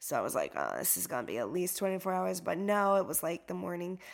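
A woman's voice on a very clean recording against a silent background. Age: 40s. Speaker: yoga teacher and trauma-sensitive life coach. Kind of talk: personal testimony, unscripted solo podcast. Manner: casual with frequent fillers.

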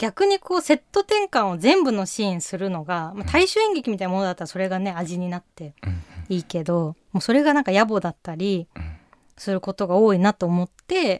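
On a very clean recording with a silent background, a woman with a plain, everyday voice speaks at a medium pitch and moderate pace with lively intonation. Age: 30s. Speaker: playwright and director hosting a theatre podcast. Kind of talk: casual interview chat.

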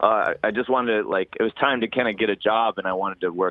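This man talks at a very fast pace with an American accent. His pitch varies in an ordinary way. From Northern California, Sacramento/Tahoe area. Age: 30s. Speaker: music event promoter. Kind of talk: casual chat. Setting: phone call.

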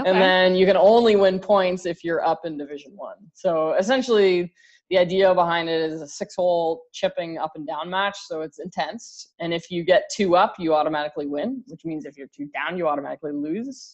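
A woman with a normal speaking voice and fairly low pitch, fairly quick pace, hardly any pauses, big swings in loudness and ordinary pitch variation. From Canada. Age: 30s. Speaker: college golf coach. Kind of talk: interview.

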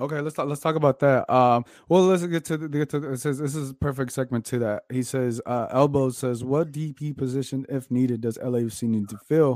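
A man's animated voice at a fairly quick pace, with hardly any pauses. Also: medium pitch for a man. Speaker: soccer podcast host. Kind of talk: casual chat.

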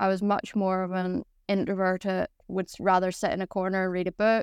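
A woman speaks with a Northern Irish accent in a flat, monotone delivery. The recording is very clean, with a silent background. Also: dry, close sound with no echo. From Northern Ireland. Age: 20s. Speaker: Paralympic boccia athlete. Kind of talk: casual interview chat.

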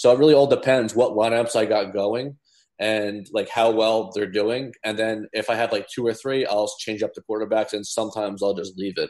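Against a quiet background, the speaker talks at a moderate pace in an American accent with fairly even intonation. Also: man, medium pitch for a man. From New Jersey. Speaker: daily fantasy sports player. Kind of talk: casual interview.

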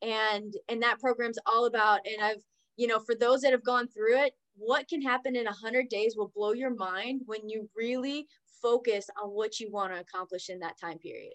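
Delivered in an ordinary speaking voice with an American accent, the speech moves at a moderate pace with ordinary pitch variation and big swings in loudness, in a dry, close sound with no echo. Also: woman, fairly high pitch for a woman. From Oklahoma. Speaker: entrepreneur and business coach. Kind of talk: interview.

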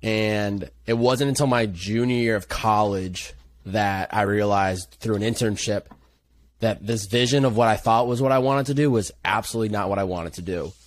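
A man with an American accent, a normal speaking voice, fairly low pitch, fairly even intonation and a moderate pace. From Western Massachusetts. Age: 20s. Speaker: content creator. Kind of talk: casual chat.

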